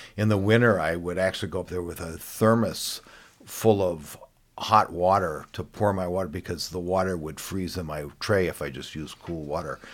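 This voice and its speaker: A man with an American accent, a very deep, low pitch, fairly even intonation, a moderate pace and big swings in loudness. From US West Coast. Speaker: watercolor artist.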